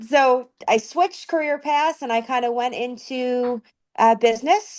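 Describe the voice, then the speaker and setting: Against a quiet background, a woman speaks at a fairly slow pace. Her pitch is high, with ordinary pitch variation. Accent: slight Southern US. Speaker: promotional products sales professional. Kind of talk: podcast interview.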